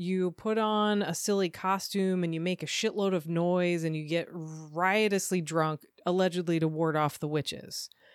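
An unremarkable speaking voice from a woman, fairly low in pitch, fairly slow and fairly even in intonation, in a very clean recording with a silent background. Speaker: podcast co-host. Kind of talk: casual chat.

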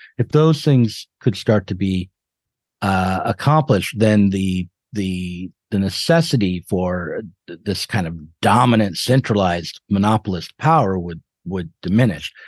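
Lively intonation at a fairly slow pace, against a quiet background, in a dry, close sound with no echo. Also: man, fairly low pitch for a man. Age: 50s. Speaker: editor and podcaster. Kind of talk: interview. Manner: halting.

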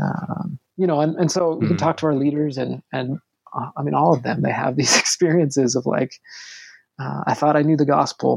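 With vocal fry and fairly even intonation, a man speaks at a fairly high pitch in a dry, close sound with no echo. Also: moderate pace. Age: 40s. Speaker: pastor. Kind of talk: casual chat.

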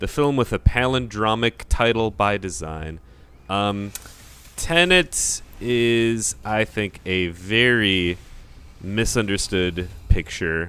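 Here a man speaks at a very slow pace in a fairly low pitch. His intonation is lively. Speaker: musician and comedy writer. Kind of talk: casual chat. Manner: playful, does mock accents.

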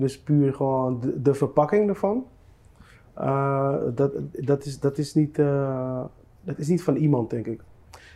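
A very slow man's voice, fairly high in pitch, with a dark, mellow tone. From Netherlands. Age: 30s. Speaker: musician. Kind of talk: casual chat.

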